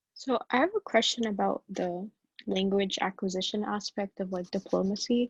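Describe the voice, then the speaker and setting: Her voice somewhat breathy, a woman speaks at a moderate pace and a medium pitch with fairly even intonation, the sound dry and close with no echo. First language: Arabic. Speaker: student attendee. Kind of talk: audience question.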